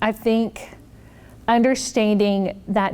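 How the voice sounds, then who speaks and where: Intonation stays fairly even. It is a plain, everyday voice. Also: woman. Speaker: psychiatrist. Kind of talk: Q&A after keynote talk. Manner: casual, with many fillers.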